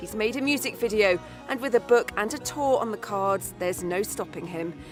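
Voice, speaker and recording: With music in the background, a woman talks at a fairly high pitch. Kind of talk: TV news narration.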